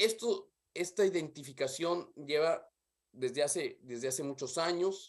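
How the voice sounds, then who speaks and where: Against a quiet background, a man with a Mexican accent speaks at a fairly slow pace, his high pitch showing ordinary pitch variation. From Mexico. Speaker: development specialist; remote presenter. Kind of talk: conference talk; presentation talk. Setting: video call. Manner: halting. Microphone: earbuds.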